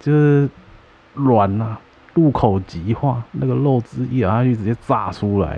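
Speaking at a fairly slow pace, a man uses lively intonation. His pitch is medium. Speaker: podcast co-host. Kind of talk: casual chat. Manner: animated.

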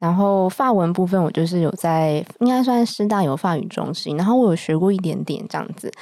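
Talking at a fairly quick pace with hardly any pauses, a woman has a medium pitch. Her tone is dark and mellow, with ordinary pitch variation. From Taiwan. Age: 30s. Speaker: wine importer and entrepreneur. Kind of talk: casual interview chat. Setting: studio, drinking wine while recording.

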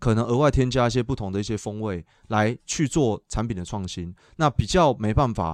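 Lively intonation marks a man's fairly quick speech. Little sound intrudes from the background. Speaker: dairy cattle veterinarian and dairy brand founder. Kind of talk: casual interview.

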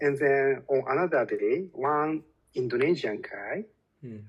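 A man with a Japanese accent, fairly slow pace and ordinary pitch variation. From Japan (Osaka). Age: 30s. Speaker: language learner and English educator. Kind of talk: casual interview. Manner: hesitant, many fillers.

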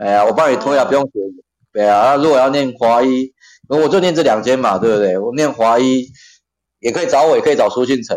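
A man's pitch sits in the medium range and shifts in an ordinary way. He talks very fast. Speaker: occupational safety trainer and lecturer. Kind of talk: casual chat.

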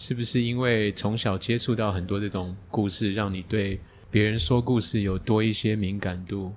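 A plain, everyday voice belongs to a man with a fairly low pitch. He goes at a moderate pace. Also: fairly even intonation. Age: middle-aged. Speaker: podcast host. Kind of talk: casual chat. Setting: teahouse.

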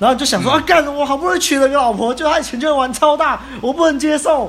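Over clearly audible background noise, a man delivers his words fairly quickly. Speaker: podcast host. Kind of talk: casual chat.

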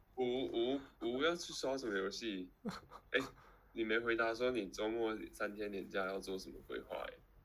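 A man with a medium pitch speaks fairly slowly, his pitch varying in an ordinary way. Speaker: podcast co-host. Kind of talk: casual chat. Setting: live stream over call.

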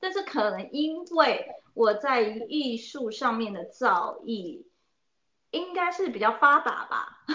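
Her pitch high and swinging very widely, a woman speaks at a very slow pace. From Taiwan. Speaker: oboist and music teacher. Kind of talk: interview. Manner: hesitant, many fillers.

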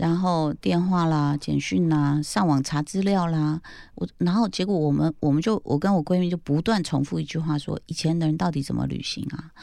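A woman speaks with a very deep, low pitch and a dark, mellow tone, at a moderate pace with hardly any pauses and ordinary pitch variation. The recording is very clean, with a silent background. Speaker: podcast host. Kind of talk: casual chat.

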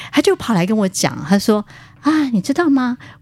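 Somewhat breathy woman's voice at a fairly quick pace. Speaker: spiritual writer and qigong teacher. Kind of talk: casual interview. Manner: frequent fillers and hesitations.

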